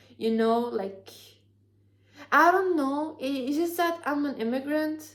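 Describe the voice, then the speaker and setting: A woman with an Arabic accent, lively intonation and a moderate pace, in audible room echo. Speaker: book youtuber. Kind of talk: video essay, casual talk to camera. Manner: halting, many fillers and restarts.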